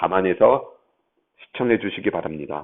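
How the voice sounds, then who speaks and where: Pitched fairly low, a man's voice rises and falls in a normal way as he talks at an even speed. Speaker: math lecturer. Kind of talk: lecture. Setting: classroom. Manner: halting. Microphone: bluetooth mic, may echo in room.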